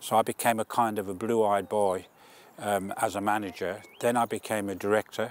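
Flat and monotone, the voice moves at a moderate pace in a dry sound with no echo. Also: man. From Birmingham, England. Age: 70s. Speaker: publisher and retired business director. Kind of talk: personal testimony interview. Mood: calm, reflective. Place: open country. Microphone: lapel.

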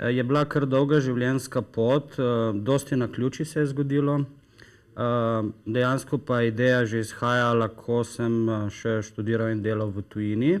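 A plain, everyday voice with fairly even intonation over a quiet background. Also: man, medium pitch for a man. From Slovenia, Styria and coast (Maribor, Piran); Slovenia. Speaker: company founder promoting health products; guest. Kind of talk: TV talk show interview. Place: studio. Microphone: lapel.

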